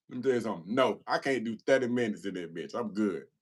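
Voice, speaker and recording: An animated voice with an American accent, swinging very widely in pitch. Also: man. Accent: country Southern, varies by audience. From US South. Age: 40s. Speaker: livestreamer, former prisoner, anger management specialist. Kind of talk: casual live stream chat answering viewer questions.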